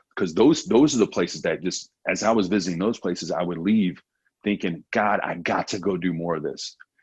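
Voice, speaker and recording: Against a quiet background, a man speaks in a very deep, low voice. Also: ordinary pitch variation, fairly quick pace. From USA, military family, moved around. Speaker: world traveler and travel show host. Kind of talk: podcast interview. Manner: casual, many filler words.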